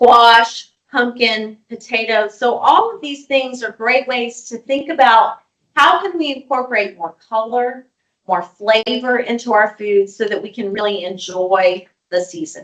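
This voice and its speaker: Speaking at a fairly slow pace, a woman uses an ordinary speaking voice, fairly high in pitch with ordinary pitch variation. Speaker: registered dietitian. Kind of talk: webinar presentation. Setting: online webinar.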